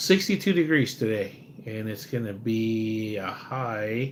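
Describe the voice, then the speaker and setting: A speaker with an American accent uses ordinary pitch variation, with audible room echo. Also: man. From USA. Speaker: live streamer. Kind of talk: casual live stream chat. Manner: rambling, repetitive fillers.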